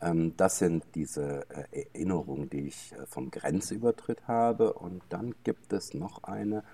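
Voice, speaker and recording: The voice has a dark, mellow tone with vocal fry. Its pitch varies an ordinary amount. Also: man. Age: 60s. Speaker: gin distiller. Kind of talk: casual chat. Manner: halting, many filler sounds.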